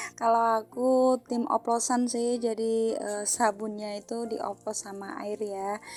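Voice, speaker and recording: On a very clean recording with a silent background, a woman speaks very slowly in a monotone, flat intonation at a fairly high pitch, with hardly any pauses. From Central Java, Indonesia. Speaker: housewife vlogger. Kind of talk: casual vlog narration. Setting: at home, washing dishes. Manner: hesitant, frequent fillers.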